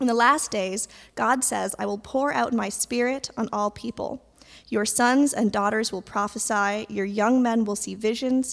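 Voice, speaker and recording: In a very clean recording with a silent background, a woman has a plain, everyday voice, a fairly high pitch and ordinary pitch variation. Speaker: scripture reader. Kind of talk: reading aloud. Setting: church.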